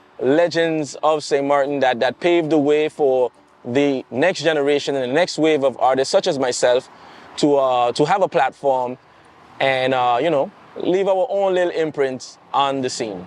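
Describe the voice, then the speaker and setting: A man with a St Maarten accent talks at a moderate pace, his pitch fairly high with ordinary variation. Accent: St Maarten Caribbean. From St Maarten, Caribbean. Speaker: soca singer. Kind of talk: interview.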